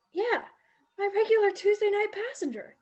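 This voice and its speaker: In a squeaky, put-on character voice with extremely high pitch and ordinary pitch variation, a woman speaks at a moderate pace in a nervous tone. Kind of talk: high school stage acting. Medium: stage play. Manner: nervous, chatty.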